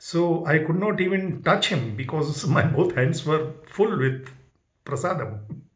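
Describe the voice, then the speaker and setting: With audible room echo, a man in a somewhat breathy voice speaks at a moderate pace with ordinary pitch variation. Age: 70s. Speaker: spiritual devotee sharing experiences. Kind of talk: personal testimony. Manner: halting.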